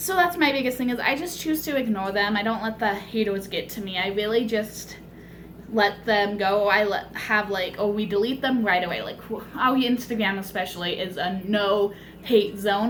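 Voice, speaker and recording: A woman talks at a moderate speed amid noticeable background noise and audible echo from the room. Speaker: cosplayer vlogger. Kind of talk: casual vlog monologue. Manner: rambling, filler-heavy.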